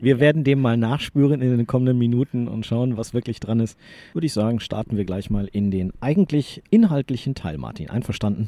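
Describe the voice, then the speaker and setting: On a very clean recording with a silent background and a dry, close sound with no echo, a man talks in an ordinary speaking voice at a medium pitch with ordinary pitch variation. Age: 40s. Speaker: sports journalist and podcast co-host. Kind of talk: casual chat. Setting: studio, face to face.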